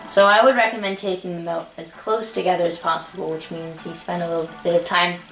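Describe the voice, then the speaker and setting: Her words come out very fast. The woman's voice carries audible room echo over noticeable background noise. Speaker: gaming youtuber. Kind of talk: gameplay commentary. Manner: casual, animated.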